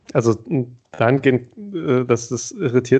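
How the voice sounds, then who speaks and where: A man at a moderate pace. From Thuringia, eastern Germany. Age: 30s. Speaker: podcast co-host. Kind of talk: casual conversation.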